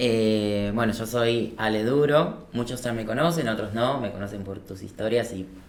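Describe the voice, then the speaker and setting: Against noticeable background noise and audible room echo, a man speaks at a medium pitch and a fairly slow pace. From Argentina, Paraná, Entre Ríos. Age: 30s. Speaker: business owner, former musical theatre performer. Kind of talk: casual interview. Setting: podcast studio.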